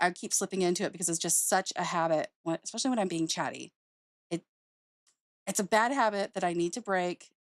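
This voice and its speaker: A woman does a put-on character voice that is raspy, at a medium pitch with ordinary pitch variation. She moves at a fairly quick pace, the sound dry and close with no echo. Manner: chatty.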